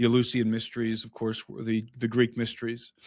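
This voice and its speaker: A man speaks with a Midwestern US accent. His pace is fairly quick. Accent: General American, Midwestern. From US Midwest, Brook Park, Ohio. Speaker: author and researcher on ancient mysteries. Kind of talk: podcast interview. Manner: animated, with frequent restarts and fillers.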